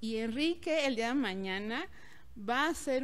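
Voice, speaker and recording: The speaker is a woman. Her pitch varies in an ordinary way. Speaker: event promoter or host. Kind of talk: interview answer. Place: home room. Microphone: handheld.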